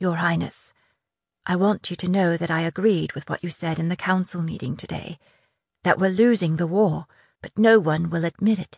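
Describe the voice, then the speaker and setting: In a put-on character voice, a woman speaks at a moderate pace, sounding shaky at a fairly low pitch. The background is quiet. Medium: read story. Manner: courtly, formal.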